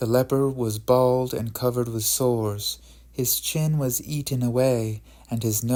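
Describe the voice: In plain reading aloud, the intonation holds fairly even.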